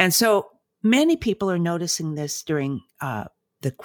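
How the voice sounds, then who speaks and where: A woman with an American accent, lively intonation and a moderate pace, on a very clean recording with a silent background and a dry, close sound with no echo. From United States. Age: 70s. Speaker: clinical psychologist and author. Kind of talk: interview conversation. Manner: measured, with hesitations.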